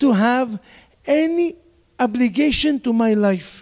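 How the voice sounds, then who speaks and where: With a non-native accent, the speaker uses lively intonation at a fairly slow pace, in a dry, close sound with no echo. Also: man. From Israel. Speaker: rabbi. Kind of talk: lecture. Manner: animated.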